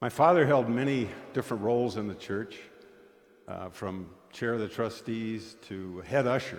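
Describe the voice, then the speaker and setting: A man with an American accent speaks at a medium pitch. Audible room echo surrounds his voice. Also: ordinary pitch variation, moderate pace. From US Midwest (eastern South Dakota). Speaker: guest lay speaker at church. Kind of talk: sermon. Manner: conversational storytelling.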